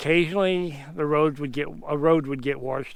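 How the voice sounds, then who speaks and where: Against a quiet background, a man speaks at a moderate pace with a fairly high pitch and ordinary pitch variation. He has an unremarkable speaking voice. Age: 60s. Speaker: outdoor vlogger. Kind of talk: casual vlog narration. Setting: outdoors. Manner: casual.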